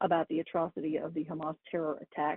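A woman with an unremarkable speaking voice, fairly low pitch and a fairly quick pace. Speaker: news correspondent. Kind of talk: radio interview.

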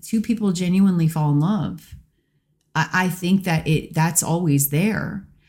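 A woman speaks with an American accent, somewhat breathy. The recording is very clean, with a silent background. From US Pacific Northwest. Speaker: actress. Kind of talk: casual chat.

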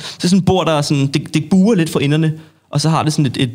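A man speaks with an unremarkable speaking voice. His pitch is fairly high, with ordinary variation. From Denmark, North Zealand. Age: 20s. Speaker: street sports association chairman. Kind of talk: casual interview. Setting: studio.

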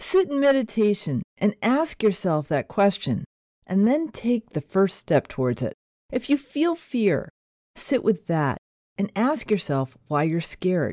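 Dry and close with no echo, a woman with an American accent speaks slowly-ish in a dark, mellow, soothing and calm tone, her pitch swinging very widely. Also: medium pitch for a woman. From Connecticut. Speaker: podcast host. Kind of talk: casual interview chat; gentle guided reflection closing the show. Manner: slow, soft, soothing pacing with calm pauses.

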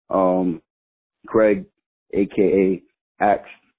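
A man speaks at a fairly low pitch with an American accent. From New York. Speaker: listener caller. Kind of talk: voicemail message. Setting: phone voicemail. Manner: excitable.

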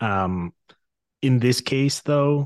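The sound is dry and close with no echo, and the background is quiet. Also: man. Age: 30s. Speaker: hockey podcast host. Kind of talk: casual chat.

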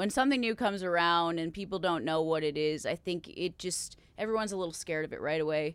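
On a very clean recording with a silent background, a woman with an Upper Midwest accent talks very fast at a fairly low pitch with ordinary pitch variation. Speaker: country singer. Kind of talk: casual chat.

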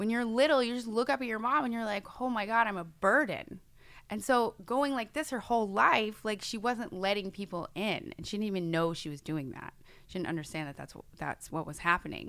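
In a very clean recording with a silent background, a woman with an American accent talks at a fairly quick pace in a fairly high pitch, with lively intonation, big swings in loudness and an ordinary speaking voice. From New York State. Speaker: hypnotherapist. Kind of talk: casual chat.

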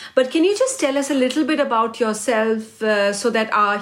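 At a moderate pace, a woman speaks in an unremarkable speaking voice, fairly high-pitched with fairly even intonation. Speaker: radio host interviewer. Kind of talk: interview.

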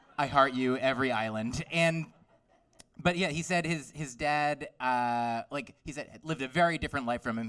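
A man with a medium pitch and lively intonation speaks in an ordinary speaking voice on a very clean recording with a silent background. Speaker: stand-up comedian. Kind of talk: stand-up comedy.

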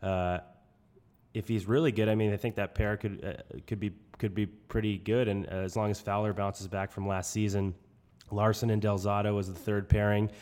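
In a very clean recording with a silent background, a man speaks with a New England accent. His pitch is fairly low, his intonation fairly even, and his pace moderate. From New Hampshire. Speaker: podcast co-host. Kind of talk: casual sports podcast discussion.

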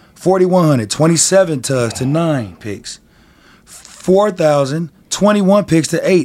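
Noticeable background noise sits under this man's voice. His pitch is fairly high and his intonation lively. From Denver. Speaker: sports talk podcast co-host. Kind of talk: heated sports debate.

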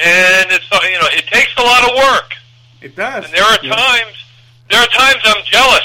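Against noticeable background noise, a man speaks fairly quickly in a raised, projected voice at an extremely high pitch with ordinary pitch variation. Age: 50s. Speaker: baseball podcaster. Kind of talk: casual interview chat.

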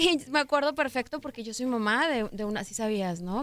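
A woman has an unremarkable speaking voice. She talks at a moderate pace. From Mexico, Guadalajara. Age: 20s. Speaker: pop singer. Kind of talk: interview.

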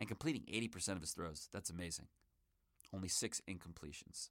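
In a very clean recording with a silent background, a man speaks at a fairly quick pace in a plain, everyday voice. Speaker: sports podcast host. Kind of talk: sports podcast commentary. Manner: casual, conversational.

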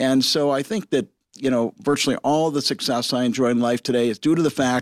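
A man with a Midwestern American accent speaks very fast with ordinary pitch variation. The recording is very clean, with a silent background and a dry, close sound that has no echo. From Michigan, Detroit area. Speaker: entrepreneur, cinema chain founder. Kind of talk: interview.

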